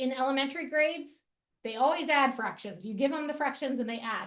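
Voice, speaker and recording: A woman speaks at a high pitch. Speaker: math education presenter. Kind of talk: educational webinar presentation. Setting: online webinar. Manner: fast; casual, with many fillers.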